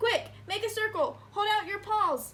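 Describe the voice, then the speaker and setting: Squeaky and extremely high in pitch, this put-on character voice moves at a moderate pace. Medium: read story.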